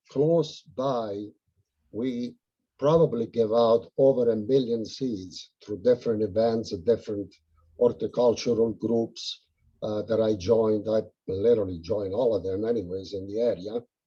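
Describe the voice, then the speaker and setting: A man's dark, mellow voice in an Italian accent, at a fairly slow pace. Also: medium pitch for a man, ordinary pitch variation. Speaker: house painter and monarch butterfly enthusiast. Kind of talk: casual Q and A on video call. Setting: video call.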